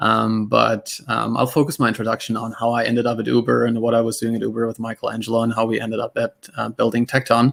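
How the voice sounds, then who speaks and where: Very fast speech in a German accent, hardly any pauses, dry and close with no echo. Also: man. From Germany. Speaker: tech startup cofounder and CTO. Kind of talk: panel discussion.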